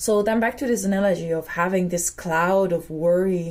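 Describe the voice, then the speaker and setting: Somewhat breathy, a woman with a Dutch accent speaks at a fairly slow pace, medium in pitch, with fairly even intonation. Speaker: spiritual vlogger. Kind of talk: personal reflective monologue. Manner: hesitant, with fillers.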